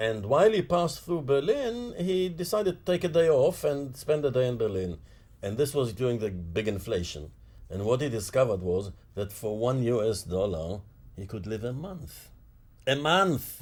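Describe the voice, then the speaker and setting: A man's voice, somewhat breathy, moves at a moderate pace. His pitch swings very widely. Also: medium pitch for a man. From Mandate Palestine / Israel. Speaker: political activist. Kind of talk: interview. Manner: halting, with frequent fillers.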